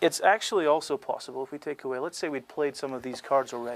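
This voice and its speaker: A soft-spoken man talks at a fairly quick pace with fairly high pitch and ordinary pitch variation. The sound is dry and close, with no echo. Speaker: card magician and cheating expert. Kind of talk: casual explanatory talk demonstrating card tricks.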